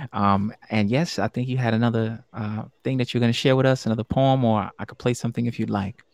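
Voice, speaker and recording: A man's medium-pitched voice at a fairly quick pace, with fairly even intonation, a dry, close sound with no echo and a quiet background. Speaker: podcast host. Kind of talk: live-streamed game show chat. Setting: live stream. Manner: warm, hesitant with frequent fillers.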